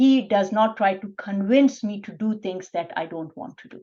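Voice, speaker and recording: Speaking with a Pakistani accent, a woman with a medium pitch and a dark, mellow tone moves at a moderate pace with lively intonation. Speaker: physician. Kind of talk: interview. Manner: soft-spoken.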